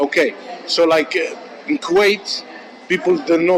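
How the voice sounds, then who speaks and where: A man speaks at a moderate pace with a high pitch and lively intonation. Noticeable background noise runs behind him. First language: not English. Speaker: interviewer. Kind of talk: interview. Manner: halting.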